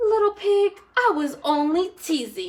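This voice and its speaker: The speaker puts on a character voice and talks at a fairly slow pace. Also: woman, extremely high pitch for a woman. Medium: read story.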